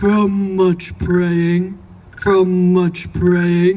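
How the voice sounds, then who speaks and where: A woman uses a put-on character voice at a medium pitch. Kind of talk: eerie folktale telling. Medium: read story. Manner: repetitive, echoing its own answers.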